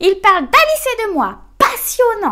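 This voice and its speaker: A woman's put-on character voice at an extremely high pitch. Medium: read story. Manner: flustered.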